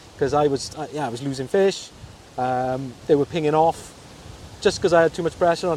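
Speaking fairly quickly, a man with a fairly high pitch uses ordinary pitch variation. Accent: Welsh Valleys. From South Wales. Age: 40s. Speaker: fly tyer and angler. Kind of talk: casual chat. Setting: outdoors by a river. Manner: hesitant, many fillers.

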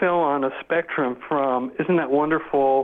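A man with a normal speaking voice talks at a fairly slow pace and a fairly high pitch. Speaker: composer. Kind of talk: casual interview.

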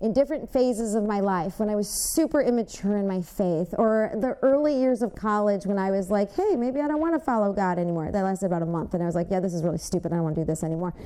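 With a Michigan accent, a woman speaks at a medium pitch with lively intonation over noticeable background noise. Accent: Midwestern US (Michigan). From Michigan, Westland. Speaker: church member giving testimony. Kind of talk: testimony.

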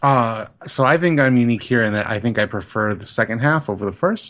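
A man's ordinary speaking voice, medium in pitch and moderate in pace, over a quiet background. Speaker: podcast co-host, film discussant. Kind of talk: casual chat.

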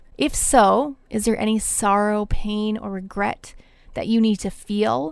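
A normal speaking voice from a woman, fairly high in pitch, at a moderate pace with ordinary pitch variation, in a very clean recording with a silent background. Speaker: life coach and spiritual director podcaster. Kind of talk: Bible teaching podcast.

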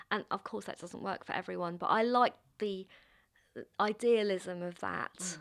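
With a London accent, a woman speaks at a moderate pace and medium pitch, her intonation fairly even and her speech broken by long, frequent pauses, in a very clean recording with a silent background. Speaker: playwright. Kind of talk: interview.

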